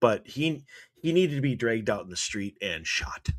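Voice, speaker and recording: Over a very clean recording with a silent background, a man talks at a moderate pace. He has an American accent and very wide pitch swings. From US Midwest (Wisconsin, Eau Claire). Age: 40s. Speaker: radio host. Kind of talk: casual chat. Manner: energetic.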